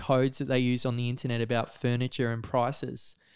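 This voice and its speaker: A man with a medium-pitched voice talks at a fairly quick pace, recorded very cleanly against a silent background with a dry, close sound and no echo. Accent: Australian. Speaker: photographer and freedom-movement activist. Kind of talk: casual interview chat. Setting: studio.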